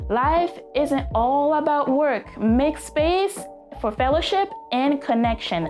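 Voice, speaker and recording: A woman with a French accent speaks at a high pitch and a fairly slow pace, in an upbeat tone. Her pitch swings very widely while her loudness stays very even, with music in the background. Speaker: self-improvement vlogger. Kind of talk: casual talk to camera. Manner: upbeat, motivational.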